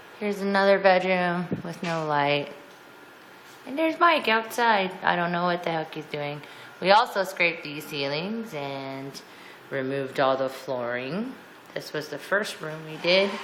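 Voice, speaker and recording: With audible room echo, a woman talks at a fairly slow pace in a fairly low pitch, her intonation lively. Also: big swings in loudness. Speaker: homeowner giving a house tour. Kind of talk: casual home video walkthrough. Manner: casual, rambling narration.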